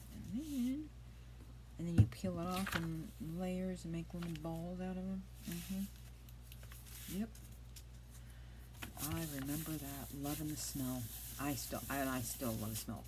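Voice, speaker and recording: A soft-spoken woman talks at a very slow pace with long, frequent pauses and audible room echo. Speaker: craft youtuber. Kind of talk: crafting tutorial. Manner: casual chatty. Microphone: iPad mic, quiet.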